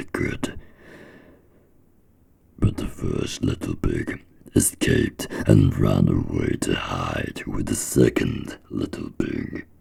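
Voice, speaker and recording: Noticeable background noise fills the recording. Through it, a man talks at a very slow pace. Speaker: ASMR storyteller. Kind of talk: story reading for ASMR. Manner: slow, soft, calm reading.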